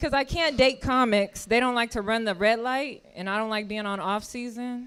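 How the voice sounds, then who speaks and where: A moderate pace and ordinary pitch variation on a very clean recording with a silent background. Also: woman, fairly high pitch for a woman. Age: 30s. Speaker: comedian. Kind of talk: stand-up. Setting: stage with audience. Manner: animated.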